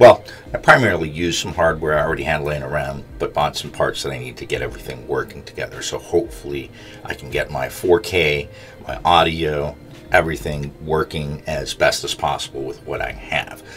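A man talks at a fairly quick pace with big swings in loudness. Faint music plays in the background. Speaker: keyboard switch reviewer. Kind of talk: casual vlog chat. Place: home room.

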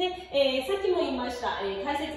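A woman speaks at a high pitch. Strong room echo and light background noise surround her voice. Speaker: yoga teacher. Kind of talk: tutorial. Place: gym. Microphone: camera far.

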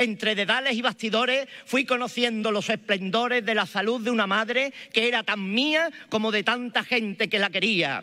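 In a quiet background, a man with an Andalusian accent uses a raised, projected voice with a bright, sharp tone and high pitch, keeping a moderate pace, ordinary pitch variation, very even loudness and hardly any pauses. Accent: Andalusian Spanish (Malaga). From Málaga, Spain. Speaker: Holy Week proclamation speaker. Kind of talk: solemn poetic oration, rhetorical spoken-word pregón with lyrical imagery. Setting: stage with audience. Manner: rhetorical, measured; emotive, fervent, declamatory. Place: stage. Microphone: podium.

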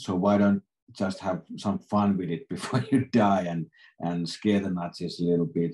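With a Finnish accent, a man speaks in a dark, mellow tone at a fairly low pitch, moderate pace and ordinary pitch variation. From Finland. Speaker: film director. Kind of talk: interview. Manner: halting. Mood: relaxed, cheerful. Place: home room. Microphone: video call.

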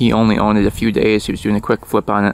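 A man at a very fast pace and fairly low pitch, with a dry sound and no echo. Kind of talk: casual vlog chat. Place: open country. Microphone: phone near.

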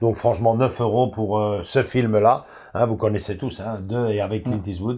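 A man speaks at a fairly low pitch with a dark, mellow tone and fairly even intonation. His pace is moderate, and the background is quiet. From Belgium. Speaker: film collector video host. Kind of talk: casual chat. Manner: halting, many fillers. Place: home room.

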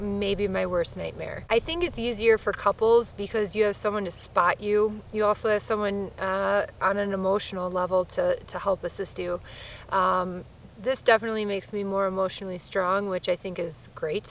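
A woman talks at a moderate pace with fairly even intonation. The sound is dry with no echo, with light background noise. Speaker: solo traveler vlogger. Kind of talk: casual vlog chat. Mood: reflective, candid. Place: forest.

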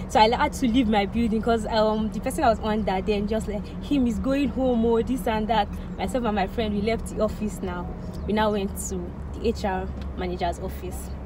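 The voice moves at a moderate pace, the sound dry with no echo but with noticeable background noise. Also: woman. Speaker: vlogger. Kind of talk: casual vlog chat, storytelling. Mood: animated, recounting tense events. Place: car. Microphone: phone near.

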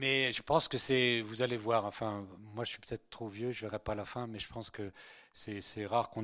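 A man talks at a fairly quick clip in a bright, sharp tone, his loudness swinging widely while his intonation stays fairly even over a quiet background. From France, Breton family, born in Spain. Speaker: priest. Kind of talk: lecture. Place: hall. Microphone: handheld.

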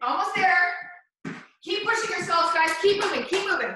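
A woman projects a raised voice at a moderate pace with ordinary pitch variation. Strong room echo and noticeable background noise surround her. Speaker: fitness instructor. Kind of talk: workout coaching cues. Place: gym. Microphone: camera far.

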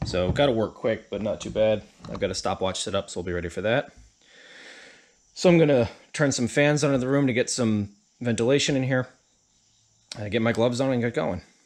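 A man's fairly quick voice with ordinary pitch variation. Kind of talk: tutorial. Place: home room. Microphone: phone near.

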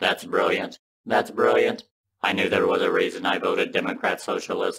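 A man's raspy, cartoonish character voice at an extremely high pitch. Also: moderate pace. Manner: earnest, simple-minded.

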